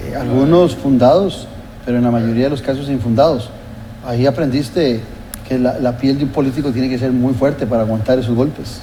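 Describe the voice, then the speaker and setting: Amid noticeable background noise and audible room echo, a man speaks at a fairly quick pace with fairly even intonation. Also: medium pitch for a man. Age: 60s. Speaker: TV political talk show host. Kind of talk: TV interview.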